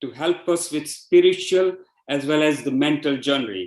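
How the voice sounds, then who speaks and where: With a Gujarati accent, a man speaks at a moderate pace with ordinary pitch variation. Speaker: devotee giving a testimonial. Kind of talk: testimony.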